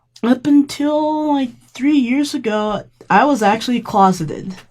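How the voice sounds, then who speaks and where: At a very slow pace, a woman with an American accent speaks in a fairly high voice with very wide pitch swings. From Colorado Springs area, military family. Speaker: community member, activist and weightlifter. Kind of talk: podcast interview, personal story. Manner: casual, conversational.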